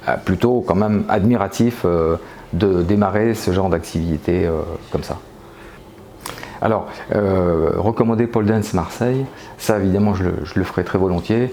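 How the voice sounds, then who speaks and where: Long, frequent pauses break up a man's moderate pace, and his fairly low voice has ordinary pitch variation. Noticeable background noise runs underneath. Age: 60s. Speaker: pole dance student. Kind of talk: interview. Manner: halting, many hesitations.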